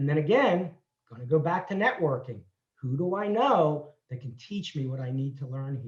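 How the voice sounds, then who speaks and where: Male speech, fairly high in pitch and somewhat breathy, at a moderate pace with lively intonation and big swings in loudness. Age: 60s. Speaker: entrepreneur. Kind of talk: interview.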